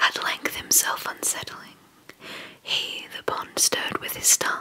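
Someone whispers at a moderate pace over light background noise. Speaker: poetry reader. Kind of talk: reading poetry aloud. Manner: close-mic whispered poetry reading. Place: home room. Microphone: studio mic.

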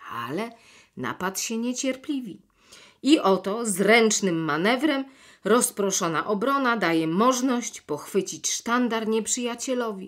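In an ordinary speaking voice, a woman talks at a fairly slow pace and fairly high pitch with lively intonation, on a very clean recording with a silent background. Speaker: actress and audiobook narrator. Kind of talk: literary audiobook reading of a classic children's novel, chapter narration. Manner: measured, expressive storytelling with clear diction.

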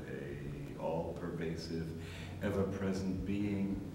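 There is audible room echo and noticeable background noise around this man's voice. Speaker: spiritual teacher. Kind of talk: lecture. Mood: warm, contemplative. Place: empty room. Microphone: old recording.

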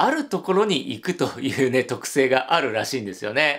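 A man talks at a fairly quick pace, with little but quiet behind him. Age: 50s. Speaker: hotel YouTuber. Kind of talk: solo video commentary. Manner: animated. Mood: cheerful, friendly. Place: home room.

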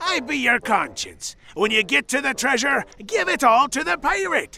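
A man puts on a cartoonish character voice pitched extremely high. He speaks at a moderate pace.

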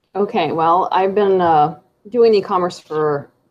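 A woman speaks at a moderate pace. Her voice sits fairly low, with ordinary pitch variation. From US Midwest. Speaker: e-commerce seller and course creator; e-commerce seller, course creator. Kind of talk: podcast interview. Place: home room. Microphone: earbuds.

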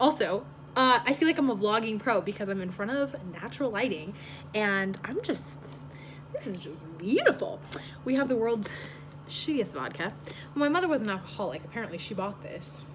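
Her pitch swings very widely as the woman talks at a fairly quick pace. Noticeable background noise runs underneath. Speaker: vlogger. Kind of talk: casual vlog chat. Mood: playful, joking. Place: home room. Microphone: phone near.

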